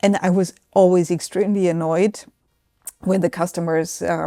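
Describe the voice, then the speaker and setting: A woman with a German accent, fairly low pitch, a dark, mellow tone, monotone, flat intonation and a moderate pace. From southern Germany, Swabia. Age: 60s. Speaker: business executive. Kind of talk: interview.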